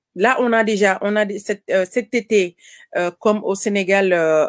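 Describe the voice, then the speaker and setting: With fairly even intonation, a woman speaks at a medium pitch and a very slow pace. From Senegal. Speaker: caterer and farmer. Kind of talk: interview. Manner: halting.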